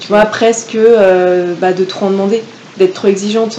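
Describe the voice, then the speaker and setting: A woman keeps her medium-pitched voice in fairly even intonation while noticeable background noise plays behind her. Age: 20s. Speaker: law student. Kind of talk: casual chat.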